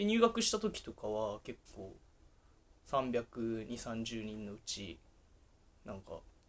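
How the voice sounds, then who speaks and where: Speaking at a very slow pace, a man leaves long, frequent pauses and his loudness swings widely. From Japan, Sapporo, Hokkaido. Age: 20s. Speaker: entrepreneur. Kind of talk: casual chat. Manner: animated.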